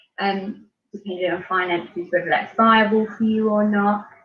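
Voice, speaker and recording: A woman speaks with a British accent. Her pitch is fairly high and her pace moderate. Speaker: beauty pageant winner. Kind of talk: interview.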